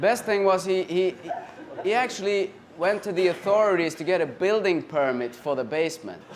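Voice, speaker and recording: A man with a Swedish accent speaks at a moderate pace and a high pitch. His intonation is lively, and there is noticeable background noise. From Sweden. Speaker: comedian. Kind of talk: stand-up. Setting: stage with audience.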